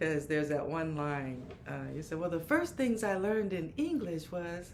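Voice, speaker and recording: Pitched fairly low, a woman talks with lively intonation at a moderate pace. Noticeable background noise and audible room echo surround her voice. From Oakland, California. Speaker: podcast co-host and comedy promoter. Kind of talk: interview.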